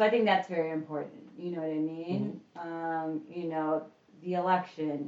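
A woman has an unremarkable speaking voice with a fairly low pitch. She talks at a fairly slow pace with fairly even intonation. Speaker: returning guest. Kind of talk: casual chat.

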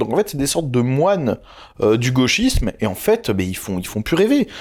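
A man talks at a moderate pace. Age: 20s. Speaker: YouTuber. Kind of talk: interview. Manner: loud, outspoken.

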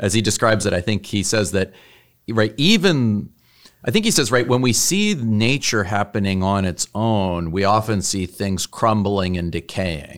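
A man with an ordinary speaking voice, fairly low pitch and ordinary pitch variation talks at a moderate pace in a very clean recording against a silent background. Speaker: podcast host and theology professor. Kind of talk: interview conversation on theology.

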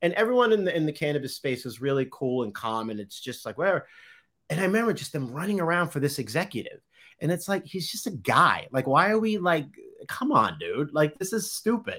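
Talking at a fairly quick pace with a Boston accent, a man uses a high, bright, sharp voice with very wide pitch swings in a very clean recording with a silent background. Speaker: photographer. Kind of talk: casual chat. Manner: halting.

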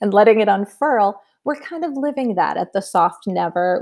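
A woman's unremarkable speaking voice, fairly high in pitch, with an American accent and a moderate pace. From Massachusetts, New England. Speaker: entrepreneur and community founder. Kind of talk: podcast interview.

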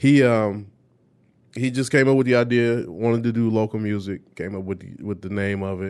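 A man with a plain, everyday voice speaks at a moderate pace and a fairly low pitch, his intonation fairly even while his loudness swings a lot. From Detroit, East Side. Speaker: DJ and music producer. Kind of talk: casual interview chat. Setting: studio.

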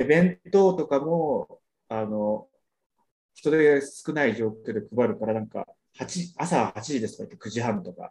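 A man's voice with very wide pitch swings, big swings in loudness, and a fairly slow pace. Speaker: podcast panelist. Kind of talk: casual chat. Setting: video call.

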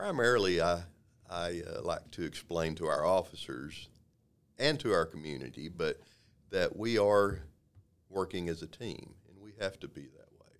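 A man's very deep, low voice with a Texan accent, lively intonation, a moderate pace and long, frequent pauses. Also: big swings in loudness. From Texas, Waco. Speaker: police sergeant. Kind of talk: interview. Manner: hesitant, many fillers.

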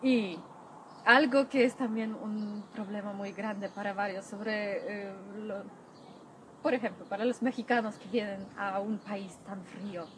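A woman with a Polish accent speaks at a fairly slow pace and medium pitch, with fairly even intonation. Her loudness swings widely, and there is noticeable background noise. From Poland (Masuria). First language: Polish (speaking Spanish). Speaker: Polish language teacher. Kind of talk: interview. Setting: outdoors. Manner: soft-spoken.

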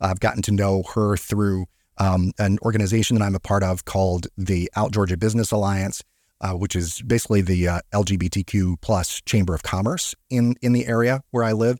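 Over a silent background in a very clean recording, a man with a plain, everyday voice talks at a fairly quick pace, fairly low in pitch, with fairly even intonation and very even loudness. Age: 40s. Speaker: financial advisor and podcast host. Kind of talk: casual solo podcast talk. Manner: filler-heavy, with frequent ums and repetitions.

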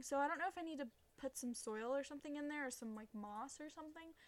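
Speaking at a very fast pace, a woman uses a high pitch with ordinary pitch variation. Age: 20s. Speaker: podcast host. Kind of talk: casual monologue. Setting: bedroom. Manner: rambling, filler-heavy.

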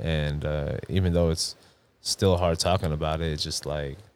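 Flat and monotone, a man with a New York accent speaks in a very deep, low pitch. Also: very clean recording, silent background. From Long Island, New York. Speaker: basketball referee. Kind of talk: casual chat.

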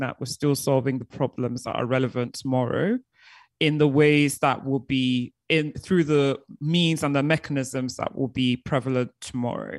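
Against a quiet background, a woman speaks at a very deep, low pitch in a dry, close sound with no echo. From Nigeria, then UK from age nine. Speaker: succession planning consultant and author. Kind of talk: interview.

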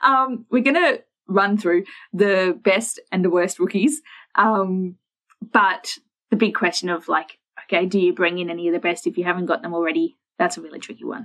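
Using ordinary pitch variation at a moderate pace, a woman speaks in an Australian accent at a medium pitch. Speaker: fantasy sports podcast co-host. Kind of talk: casual chat.

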